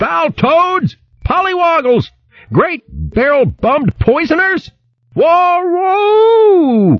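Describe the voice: A man uses a put-on character voice at an extremely high pitch. He speaks very slowly, with very wide pitch swings.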